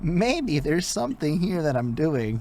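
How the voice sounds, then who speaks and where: A man puts on a character voice, fairly high in pitch with very wide swings, at a moderate pace. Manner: musing, self-questioning.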